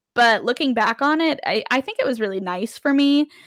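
With a raised, projected voice, a woman speaks at a high pitch in a bright, sharp tone, her pitch swinging very widely. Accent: American. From Las Vegas, Nevada, US. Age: 20s. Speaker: podcast host. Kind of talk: personal storytelling monologue. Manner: casual, many filler words.

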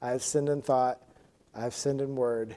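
Fairly slow and dark, a man's voice has a mellow tone. His pitch sits in the medium range. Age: 30s. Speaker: church Bible study teacher. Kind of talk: Bible study lesson. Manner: halting.

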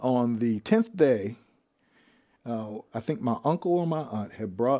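A man speaks at a medium pitch with ordinary pitch variation, recorded very cleanly against a silent background. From Ohio, US Midwest. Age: 50s. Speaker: guest. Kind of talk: interview. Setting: studio. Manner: halting.

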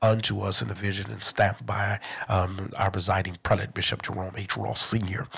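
In a very clean recording with a silent background, a man with an American accent and vocal fry speaks at a moderate pace. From Detroit, Michigan. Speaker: church overseer. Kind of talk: religious talk. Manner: halting.

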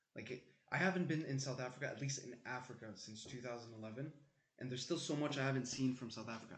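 Somewhat breathy, the voice keeps a fairly quick pace. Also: man. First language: French. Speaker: podcast guest, medical student. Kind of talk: casual chat.

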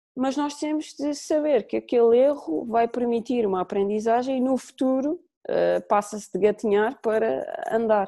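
Her fairly high voice dark and mellow, a woman talks at a moderate pace with ordinary pitch variation. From Azores, Portugal (São Miguel). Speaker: women's football coach. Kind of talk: podcast interview. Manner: hesitant, frequent repetitions.

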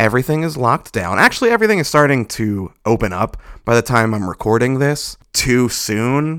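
With lively intonation, a man talks in an ordinary speaking voice at medium pitch. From US East Coast, Baltimore. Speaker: wrestling podcast host. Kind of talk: casual chat.

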